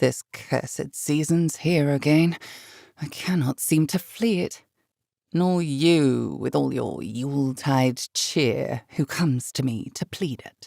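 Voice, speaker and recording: A put-on character voice growls at a low-to-middle pitch and a fairly slow pace. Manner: snarling, scornful.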